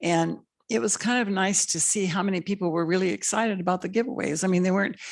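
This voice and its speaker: Here is a woman with an ordinary speaking voice. Her pitch is fairly low, with ordinary pitch variation. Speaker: school board trustee. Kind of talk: public meeting remarks.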